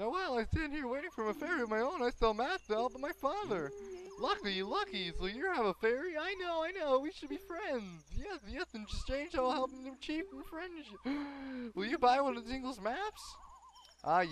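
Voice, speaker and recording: A put-on character voice, high-pitched at a moderate pace, over clear background noise. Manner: goofy, playful, exaggerated.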